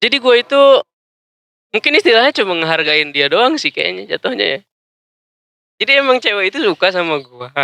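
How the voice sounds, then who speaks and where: A man's high, bright, sharp voice is raised and projected, moving at a fairly quick pace with very wide pitch swings and long, frequent pauses, the sound dry and close with no echo. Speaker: podcast guest. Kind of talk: casual chat.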